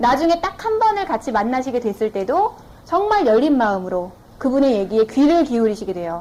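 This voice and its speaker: A woman's high-pitched voice with very wide pitch swings, a fairly quick pace and noticeable background noise. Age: 20s. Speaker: network marketing business owner, former TV announcer. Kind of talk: business seminar lecture.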